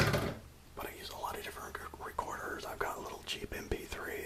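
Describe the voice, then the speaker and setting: A man whispers while noticeable noise carries on in the background. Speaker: writer. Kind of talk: casual talk to camera.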